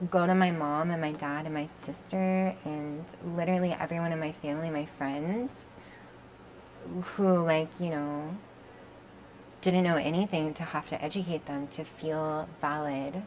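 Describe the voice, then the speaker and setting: With a General American accent, a woman speaks at a fairly slow pace in a very deep, low voice, using ordinary pitch variation and long, frequent pauses. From Oregon, USA. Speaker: model. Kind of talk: interview answer.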